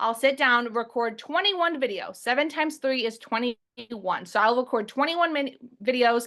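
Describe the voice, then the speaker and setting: A woman speaks with a high pitch and a bright, sharp tone. Her intonation is lively. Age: 20s. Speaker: online business coach. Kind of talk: webinar presentation. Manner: fast; loud.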